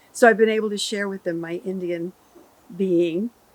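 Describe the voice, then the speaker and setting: With a Californian accent, a woman speaks at a moderate pace and medium pitch, using ordinary pitch variation. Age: 70s. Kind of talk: interview storytelling.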